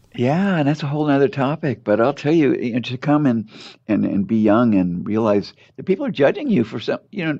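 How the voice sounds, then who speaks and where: A man's fairly high voice with a dark, mellow tone, in a Californian accent, with lively intonation and a fairly quick pace. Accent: General American, California. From Los Angeles, South Bay (Torrance). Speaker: doctor. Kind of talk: interview. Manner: halting, many repetitions.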